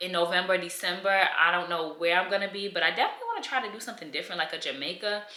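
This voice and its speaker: A woman speaks at a very fast pace in a medium pitch. Music plays in the background, and the room echo is audible. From New York. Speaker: lifestyle vlogger. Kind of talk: casual chat. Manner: animated, conversational with many fillers.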